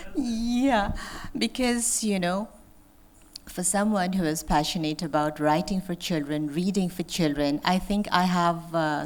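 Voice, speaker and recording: At a fairly slow pace, the voice moves with lively intonation in a very clean recording with a silent background. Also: woman. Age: 50s. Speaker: author. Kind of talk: author talk. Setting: auditorium with audience. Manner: animated.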